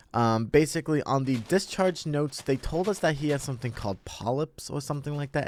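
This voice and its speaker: A quiet man's fairly high voice with lively intonation. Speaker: gaming content creator. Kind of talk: personal story told over gameplay. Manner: halting, many fillers.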